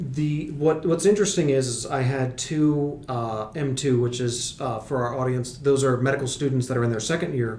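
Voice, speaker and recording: Over noticeable background noise and audible room echo, a man speaks at a moderate pace and a medium pitch. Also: ordinary pitch variation, hardly any pauses. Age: 30s. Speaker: podcast host and medical educator. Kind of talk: casual chat.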